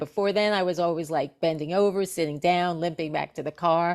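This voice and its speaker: A woman talks in a normal speaking voice. Her pitch is fairly low, with ordinary variation. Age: 60s. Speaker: actress and singer. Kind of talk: testimony.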